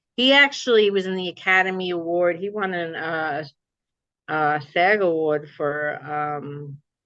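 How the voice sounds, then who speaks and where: With a New Jersey accent, a woman speaks at a fairly slow pace and a fairly low pitch. Her tone is bright and sharp, with ordinary pitch variation. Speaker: memoir author. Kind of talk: interview chat. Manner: animated.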